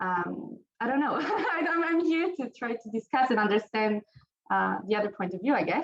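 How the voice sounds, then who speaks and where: A woman's fairly high voice in an Italian accent, with very wide pitch swings at a moderate pace. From Italy. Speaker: nuclear researcher. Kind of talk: panel discussion. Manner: halting.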